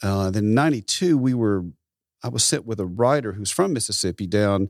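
Recorded very cleanly against a silent background, the dry, close sound with no echo carries a man with a Southern US accent, a fairly low pitch, ordinary pitch variation and a moderate pace. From US South, rural Tennessee. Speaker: photographer and musician. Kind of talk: interview.

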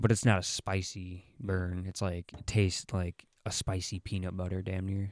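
A man's very deep, low voice in a flat monotone at a moderate pace, hardly any pauses, big swings in loudness, dry, close sound with no echo, and a very clean recording with a silent background. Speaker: podcast co-host. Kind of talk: casual chat.

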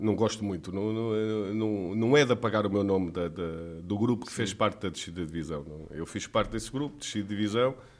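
A man at a fairly quick pace with hardly any pauses and ordinary pitch variation. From Trás-os-Montes, Portugal. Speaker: former footballer and club director. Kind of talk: casual interview.

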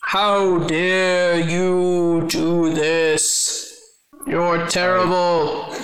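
A man puts on a character voice. It sits high in pitch and moves at a very slow pace. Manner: hissing, angry, indignant.

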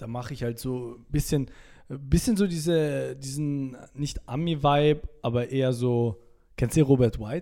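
A normal speaking voice goes at a fairly slow pace with ordinary pitch variation in a very clean recording with a silent background. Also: man, medium pitch for a man. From Salzburg, Austria. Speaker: TikToker. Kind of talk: casual interview chat.

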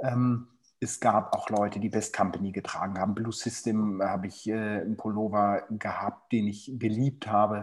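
The man's fairly low voice stays monotone, with flat intonation throughout. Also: moderate pace. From Germany, Hannover. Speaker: football casual culture expert. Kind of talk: casual chat. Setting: remote call.

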